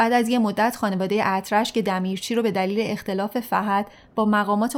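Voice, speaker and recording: Speaking at a moderate pace, a woman uses a plain, everyday voice with a fairly high pitch. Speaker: podcast narrator. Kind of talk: scripted narration.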